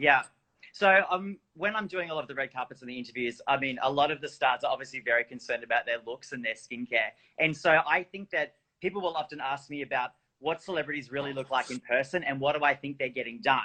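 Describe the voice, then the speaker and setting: A very fast, fairly high male voice with an Australian accent. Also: ordinary pitch variation. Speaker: entertainment reporter. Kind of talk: casual interview chat.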